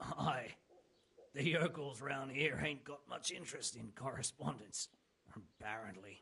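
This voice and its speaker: Putting on a raspy character voice, a man speaks at a moderate pace and medium pitch with ordinary pitch variation. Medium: video game. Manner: coarse, blunt.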